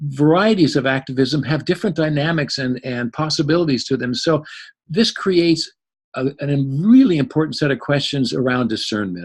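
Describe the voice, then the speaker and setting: Somewhat breathy, a man talks at a moderate pace and a fairly high pitch. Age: 70s. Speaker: psychologist and interfaith minister. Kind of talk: presentation talk. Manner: animated.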